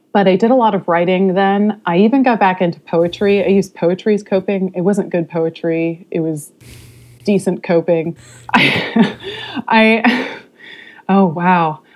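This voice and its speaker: Through noticeable background noise, a woman speaks at a fairly slow pace and medium pitch with fairly even intonation. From California, Modesto. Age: 30s. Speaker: podcast guest sharing life story. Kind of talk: interview, personal testimony. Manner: halting, many fillers.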